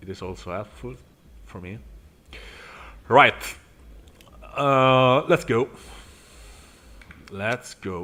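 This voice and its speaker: With an Italian accent and a bright, sharp tone, a man at medium pitch talks at a very slow pace, using lively intonation, big swings in loudness, and long, frequent pauses. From Italy. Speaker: sim racing streamer. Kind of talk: live gameplay commentary. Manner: halting, many fillers.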